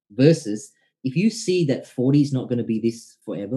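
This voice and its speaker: Somewhat breathy, this man's voice moves in very wide pitch swings. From Indian heritage family. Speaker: entrepreneur and former salesman. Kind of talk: casual interview chat.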